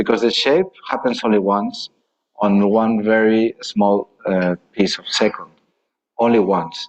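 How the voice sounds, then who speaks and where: A man is speaking. He has a Spanish accent. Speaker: architect. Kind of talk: lecture Q&A answer. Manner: halting.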